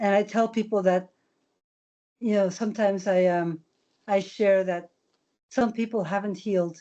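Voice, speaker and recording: Her voice has a dark, mellow tone at a medium pitch. This woman speaks at a fairly slow pace with monotone, flat intonation. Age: 70s. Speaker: elder and residential school survivor. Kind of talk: teaching talk on video call.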